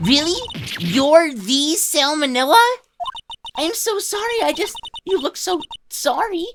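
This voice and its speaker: A put-on character voice at a fairly slow pace, with long, frequent pauses. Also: woman, extremely high pitch for a woman. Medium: fan dub.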